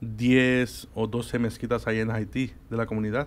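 Fairly slow and monotone, a man speaks with flat intonation at a medium pitch. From Spain. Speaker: guest. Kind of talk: interview on religion. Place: studio. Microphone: studio mic.

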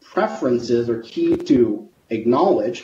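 Very wide swings in pitch from a male speaker, with room echo clearly audible. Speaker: sociologist, academic researcher; keynote speaker. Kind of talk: conference presentation. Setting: video call. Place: home room. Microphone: video call.

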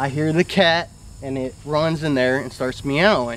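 The recording is dry, with no echo, as a man talks at a moderate pace. His pitch varies in an ordinary way. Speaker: storyteller. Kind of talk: casual storytelling to camera. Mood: earnest, mildly spooked recounting. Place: garden.

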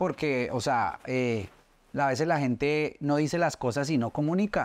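A man speaks with a fairly high pitch. His pitch varies in an ordinary way. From Colombia, Soacha near Bogotá; Colombia. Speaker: social media specialist and interviewer; interviewer. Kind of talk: casual interview. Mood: earnest, personal storytelling. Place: studio.

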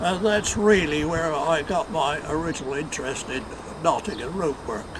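A man with an English accent speaks at a moderate pace, his voice fairly high in pitch with ordinary pitch variation. Noticeable background noise is present. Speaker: knot tyer, first president of knot tyers' guild. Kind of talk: interview answer.

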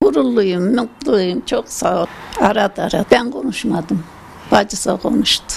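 At a medium pitch and a fairly slow pace, a woman talks with very wide pitch swings. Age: 80s+. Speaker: proud mother of an athlete. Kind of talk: interview answer. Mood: proud, happy. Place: home room. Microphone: handheld.

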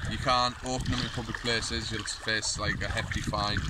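A man speaks against noticeable background noise, and the sound is dry with no echo. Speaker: vlogger. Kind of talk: casual vlog. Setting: outdoors by a lake. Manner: casual, rambling. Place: forest.

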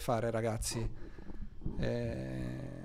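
The tone here is dark and mellow. The voice is a man's. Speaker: cybersecurity streamer presenting a blue team segment; streamer presenting cybersecurity topic. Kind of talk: live-stream tutorial. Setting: live stream. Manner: hesitant, many filler sounds. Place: home room. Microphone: mic level adjusted, first too quiet then too loud.

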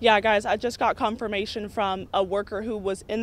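A woman talks at a fairly quick pace in a monotone, flat way. The sound is dry, with no echo. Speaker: field news reporter. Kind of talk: live news report. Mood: urgent, serious. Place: street. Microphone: handheld.

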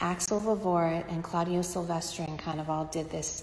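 Using monotone, flat intonation, a woman speaks with a fairly low pitch at a moderate pace. Audible room echo surrounds her voice. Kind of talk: casual vlog chat. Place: bathroom. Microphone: phone near.

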